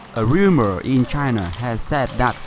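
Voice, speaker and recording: A man with a Vietnamese accent speaks with very wide pitch swings against noticeable background noise. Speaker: table tennis coach. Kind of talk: casual chat.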